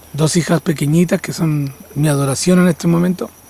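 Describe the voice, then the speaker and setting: Over noticeable background noise, a man with high pitch speaks at a moderate pace. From northern Chile (Vallenar). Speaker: shaman and musician. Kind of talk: documentary interview.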